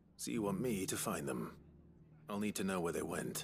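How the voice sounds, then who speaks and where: In a put-on character voice, a raspy, fairly low-pitched man speaks at a moderate pace with a calm tone, lively intonation and very even loudness. Music plays in the background, and there is audible echo. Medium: video game. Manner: calm, dry, understated.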